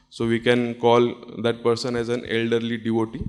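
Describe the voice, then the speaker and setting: Medium pitch from a man, at a moderate pace. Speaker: doctor giving a talk. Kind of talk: conference presentation. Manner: halting, with frequent fillers.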